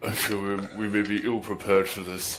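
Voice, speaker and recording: A man uses a put-on character voice, fairly low in pitch and monotone, flat in intonation, at a fairly quick pace. Clear background noise runs behind him. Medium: actual play. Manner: formal, stilted.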